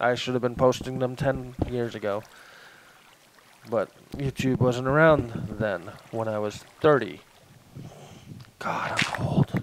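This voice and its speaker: Against noticeable background noise, a man of medium pitch talks at a very slow pace with long, frequent pauses and ordinary pitch variation. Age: 30s. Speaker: gaming youtuber. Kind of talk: gameplay commentary. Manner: casual, self-deprecating rambling.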